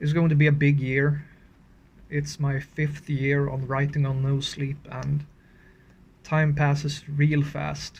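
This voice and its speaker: A man with a Swedish accent speaks fairly slowly in a fairly high pitch. His delivery is flat and monotone, and somewhat breathy. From Scandinavia. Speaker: horror story writer and channel owner. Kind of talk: casual update video. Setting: outdoors in freezing cold. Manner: halting, with fillers.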